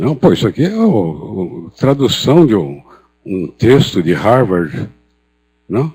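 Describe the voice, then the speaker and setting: A man's dark, mellow, medium-pitched voice with vocal fry, very wide pitch swings, a very slow pace and long, frequent pauses. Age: 70s. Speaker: psychiatrist and professor. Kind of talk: conference talk. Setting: stage with audience. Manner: hesitant, with repetitions.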